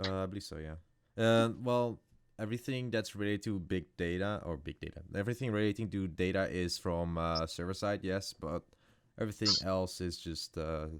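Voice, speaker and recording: With a very deep, low pitch, a man speaks at a moderate pace and varies his pitch in an ordinary way. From Netherlands. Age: young. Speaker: student developer. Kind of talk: live Q&A session.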